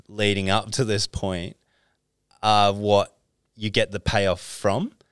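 With an Australian accent, a man speaks at a very slow pace and a fairly low pitch. The sound is dry and close with no echo, in a very clean recording with a silent background. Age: 30s. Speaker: sports agent. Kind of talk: casual chat.

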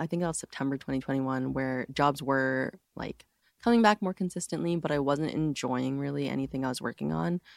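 With an American accent, a woman with a very deep, low pitch and ordinary pitch variation talks at a fairly quick pace in a dry, close sound with no echo. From New York and New Jersey, US. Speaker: cinematographer. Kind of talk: casual interview.

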